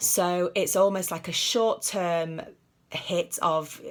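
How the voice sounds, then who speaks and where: A woman speaks at a very slow pace in a fairly low pitch, on a very clean recording with a silent background. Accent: British. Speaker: psychologist. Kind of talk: tutorial. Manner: hesitant, many fillers.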